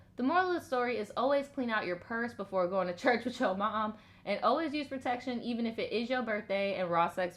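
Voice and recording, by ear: A natural voice reading aloud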